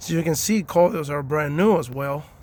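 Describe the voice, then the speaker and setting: A man talks at a fairly slow pace with a Spanish accent. His pitch variation is ordinary. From Cuba. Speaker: car owner doing DIY repair video. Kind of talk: casual tutorial. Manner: halting, many fillers.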